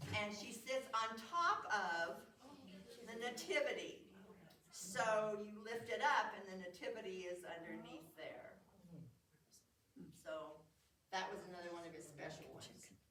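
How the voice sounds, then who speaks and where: A woman speaks at a fairly slow pace with lively intonation and long, frequent pauses. Her loudness swings widely, and room echo is audible. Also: medium pitch for a woman. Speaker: museum program presenter showing nativity sets. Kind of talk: show and tell talk. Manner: halting.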